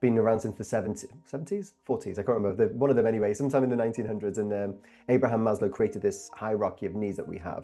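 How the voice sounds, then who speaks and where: A man speaks very fast in a Welsh accent, his medium-pitched voice dark and mellow in tone, with ordinary pitch variation. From Wales. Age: 30s. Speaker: guest, coach on belonging. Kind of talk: interview conversation.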